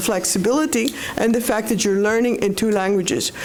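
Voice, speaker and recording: A woman with a fairly high pitch talks at a moderate pace, with audible room echo and noticeable background noise. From Panama. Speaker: professor. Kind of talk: panel discussion. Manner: talkative.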